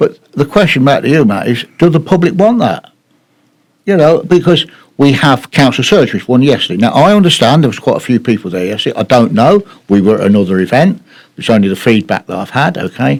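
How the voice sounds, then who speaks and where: A man talks at a fairly quick pace in a fairly high pitch, with very wide pitch swings. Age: 70s. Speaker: town councillor. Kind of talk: heated debate. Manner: loud; halting.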